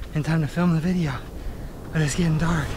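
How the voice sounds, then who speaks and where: The words come out very fast. Music can be heard behind them. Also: man. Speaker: travel vlogger. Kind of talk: outdoor vlog narration. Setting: outdoors on a hiking trail.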